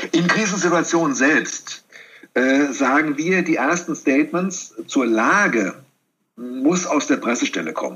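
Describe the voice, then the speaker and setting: At a fairly slow pace, a plain, everyday voice carries lively intonation. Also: man, fairly high pitch for a man. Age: 50s. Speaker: corporate communications executive. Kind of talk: interview.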